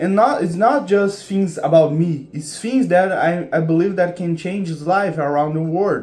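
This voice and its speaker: Audible room echo surrounds a man speaking at a moderate pace. His pitch is high, with ordinary variation. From Brazil. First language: Portuguese. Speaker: content creator. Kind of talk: casual vlog monologue. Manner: halting, many restarts and fillers.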